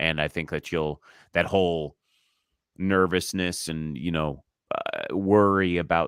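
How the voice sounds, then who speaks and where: A man speaks at a very slow pace with a very deep, low pitch. The recording is very clean, with a silent background and a dry, close sound with no echo. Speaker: impressionist, comedian, voice artist, ring announcer. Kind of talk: interview answer.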